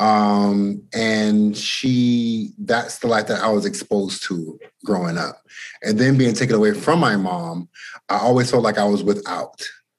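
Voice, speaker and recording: This man has a normal speaking voice with a fairly low pitch. He talks at a fairly slow pace. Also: ordinary pitch variation. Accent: American. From Boston, Massachusetts. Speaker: musician and creative director. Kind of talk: casual interview.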